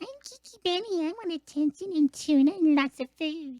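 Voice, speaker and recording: A squeaky, high-pitched put-on character voice at a moderate pace. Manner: cute, needy.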